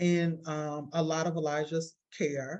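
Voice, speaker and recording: A woman speaks with a Southern accent. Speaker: parent of a seriously ill child. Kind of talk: interview testimony. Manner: halting, many repetitions.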